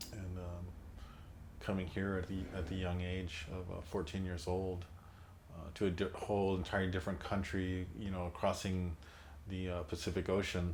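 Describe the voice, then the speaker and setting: A man with a very deep, low voice speaks at a moderate pace, somewhat breathy and in a flat monotone. Audible room echo surrounds him. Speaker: son of a labor leader, oral history interviewee. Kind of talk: oral history interview. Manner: halting, many fillers and repetitions.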